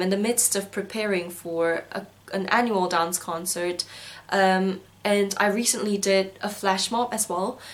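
Against noticeable background noise, a woman talks at a fairly slow pace with fairly even intonation. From South Korea, schooled in Singapore. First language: Korean. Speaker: university student vlogger. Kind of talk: video diary.

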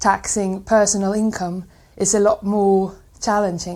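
A woman speaks with a Swedish accent at a moderate pace and medium pitch. Her intonation is monotone and flat, in a very clean recording with a silent background. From Sweden. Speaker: graduate student. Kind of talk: testimonial interview.

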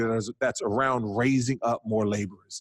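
The sound is dry and close, with no echo. An unremarkable speaking voice moves at a fairly quick pace. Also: man. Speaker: pastor. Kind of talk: casual chat.

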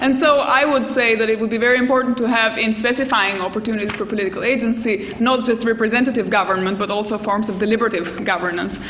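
Very fast and with hardly any pauses, a woman speaks at a fairly high pitch with fairly even intonation, with audible room echo and noticeable background noise. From Albania. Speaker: political theorist. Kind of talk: panel discussion.

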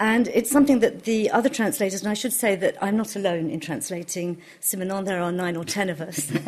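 Noticeable background noise sits behind a woman's medium pitch. She speaks at a fairly quick pace with lively intonation. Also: hardly any pauses. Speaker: translator. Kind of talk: panel discussion.

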